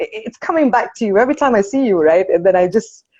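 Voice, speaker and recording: A woman with a Malaysian accent has a dark, mellow tone and very wide pitch swings. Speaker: interviewer. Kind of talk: casual chat.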